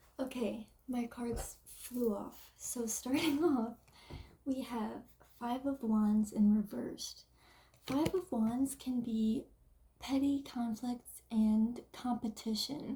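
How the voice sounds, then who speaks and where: Quiet and at a very slow pace, a woman speaks with high pitch, a dark, mellow tone and fairly even intonation. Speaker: tarot card reader. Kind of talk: tarot reading.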